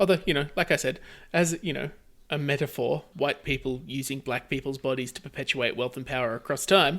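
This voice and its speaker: This man speaks at a fairly quick pace in a normal speaking voice, with fairly high pitch and ordinary pitch variation, on a very clean recording with a silent background. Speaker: podcast co-host. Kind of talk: comedy podcast banter, recounting a movie plot.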